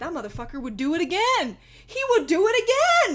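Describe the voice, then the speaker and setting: An animated woman with an American accent, very wide pitch swings and a moderate pace. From Texas. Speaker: livestreamer. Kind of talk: casual chat.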